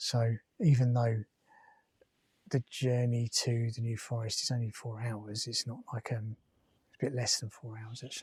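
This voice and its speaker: Quiet and mumbling, a man speaks at a medium pitch in a monotone, flat intonation, somewhat breathy, at a moderate pace with long, frequent pauses, in a dry, close sound with no echo. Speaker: travel vlogger. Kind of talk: casual vlog monologue.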